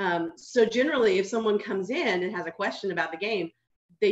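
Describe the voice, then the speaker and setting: A woman is talking. Her pace is very fast. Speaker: gaming group founder and community center director. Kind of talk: panel discussion. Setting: video call. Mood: friendly, relaxed. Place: home room. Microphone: video call.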